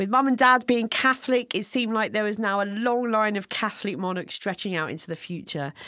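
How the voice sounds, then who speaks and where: A woman with a British accent talks at a fairly quick pace in a bright, sharp tone with ordinary pitch variation, in a very clean recording with a silent background. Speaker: podcast co-host. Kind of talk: casual comedic banter about history. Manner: fast talker.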